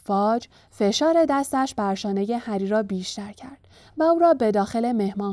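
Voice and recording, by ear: The voice reads aloud naturally. Its intonation is lively.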